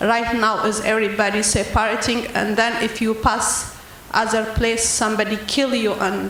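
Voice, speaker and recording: A woman with a non-native accent speaks fairly slowly in a fairly high voice. Noticeable background noise and audible room echo surround her. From Ethiopia. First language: not English. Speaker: audience member asking a question. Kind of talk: audience question at panel event. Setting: public event with audience. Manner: halting.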